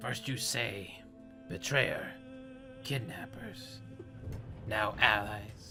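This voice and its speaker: A man does a put-on character voice at a fairly low pitch and a very slow pace, with long, frequent pauses. Clear music plays in the background. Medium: actual play. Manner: clipped, terse.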